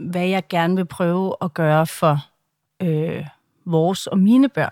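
A woman speaks very slowly in a fairly low voice. The recording is very clean, with a silent background. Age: 40s. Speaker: social media personality and campaigner. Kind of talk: interview. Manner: halting.

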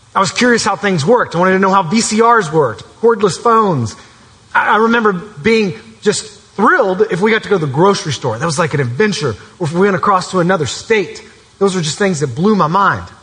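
Lively intonation at a fairly quick pace over noticeable background noise. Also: man, high pitch for a man. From Kentucky, Elizabethtown. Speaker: camp speaker, preacher. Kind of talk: sermon. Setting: church with live audience.

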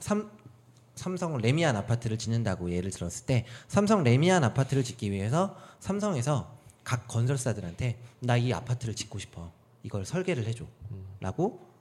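A somewhat breathy male voice at medium pitch, moderate in pace, with very wide pitch swings. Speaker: podcast guest with a varied career. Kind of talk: casual chat, interview. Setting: studio, meeting room.

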